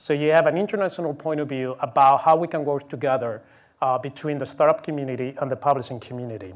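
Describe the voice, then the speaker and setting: A man talks at a very fast pace, his fairly high voice moving with ordinary pitch variation. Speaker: conference speaker, publishing consultant. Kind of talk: conference talk. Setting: conference stage with audience and interpreters.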